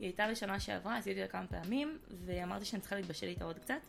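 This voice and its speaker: The speech comes at a fairly quick pace. Behind it, music can be heard. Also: woman. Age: 20s. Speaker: content creator. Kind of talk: casual chat. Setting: studio.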